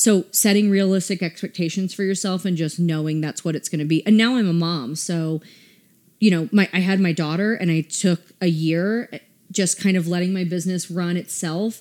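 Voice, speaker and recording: A woman's fairly low voice with an American accent, a plain, everyday voice, fairly even intonation and a moderate pace, in a very clean recording with a silent background. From US South, Atlanta. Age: 30s. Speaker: boutique owner. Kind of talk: casual interview.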